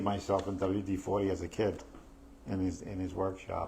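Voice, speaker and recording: A man with a New York accent. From New York, Staten Island. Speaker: real estate podcast host. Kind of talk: live podcast discussion. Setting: live stream. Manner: halting, many fillers.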